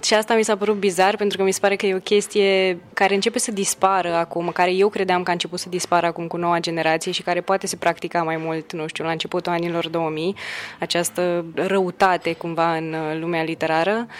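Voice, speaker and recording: Over noticeable background noise, a woman talks at a fairly quick pace with monotone, flat intonation. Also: fairly low pitch for a woman. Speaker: poet. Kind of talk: casual chat. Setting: hotel lobby. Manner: soft-spoken.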